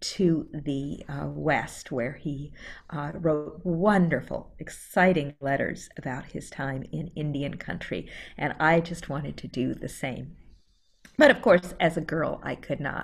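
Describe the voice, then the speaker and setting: A woman speaks at a fairly slow pace in a very deep, low pitch with vocal fry. Her loudness swings widely against a quiet background. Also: ordinary pitch variation. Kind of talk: first-person historical storytelling presentation. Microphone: video call.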